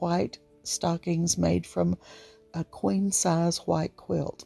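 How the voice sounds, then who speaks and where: The voice comes in an Appalachian accent at a very slow pace. The sound is dry and close, with no echo. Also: woman. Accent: Appalachian drawl. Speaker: home decor and thrift vlogger. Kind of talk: casual talk to camera. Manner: chatty, warm.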